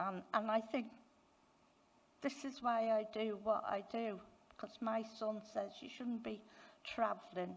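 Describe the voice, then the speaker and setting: A somewhat breathy woman's voice, fairly high in pitch, at a very slow pace. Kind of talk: conference talk.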